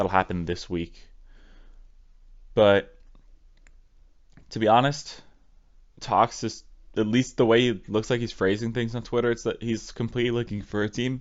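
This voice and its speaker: A soft-spoken man of medium pitch talks at a moderate pace with fairly even intonation. He leaves long, frequent pauses. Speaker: esports commentator. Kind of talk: solo news breakdown video.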